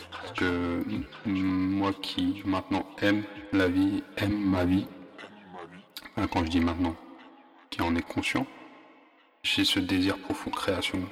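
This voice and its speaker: A man's very slow delivery with long, frequent pauses, and music in the background. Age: 30s. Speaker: personal podcaster. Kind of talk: personal narration. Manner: halting.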